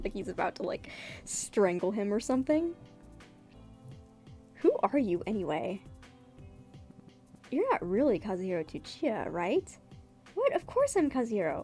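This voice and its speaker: Music plays in the background as a woman talks at a moderate pace with very wide pitch swings. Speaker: webcomic artist. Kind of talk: dramatic comic reading with commentary.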